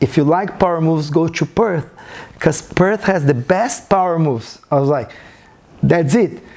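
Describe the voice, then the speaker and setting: Here a man speaks with a high pitch and ordinary pitch variation. His pace is moderate and his loudness very even. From Brazil. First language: Portuguese. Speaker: breaking teacher and studio owner. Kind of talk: podcast interview answer.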